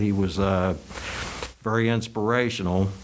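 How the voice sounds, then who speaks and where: A man's fairly even intonation amid audible room echo and noticeable background noise. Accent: Virginia. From Richmond, Virginia, US South. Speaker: college alumnus. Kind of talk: oral history interview. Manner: hesitant, filler words.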